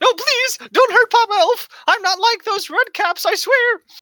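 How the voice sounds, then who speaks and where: In a put-on character voice, the speaker goes at a moderate pace with an extremely high pitch. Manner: pleading, panicked.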